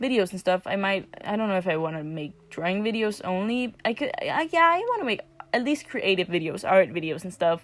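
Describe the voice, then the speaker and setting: A woman with a non-native accent talks at a fairly quick pace and medium pitch, with hardly any pauses. Her pitch swings very widely over noticeable background noise. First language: not English. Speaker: amateur digital artist, vlogger. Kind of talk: casual voiceover commentary. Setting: at another house, not home. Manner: hesitant, many fillers.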